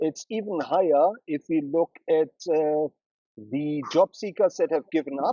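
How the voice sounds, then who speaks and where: With a German accent, a man talks at a fairly slow pace and a fairly high pitch. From Germany, Berlin. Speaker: brand strategist. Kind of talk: interview. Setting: studio.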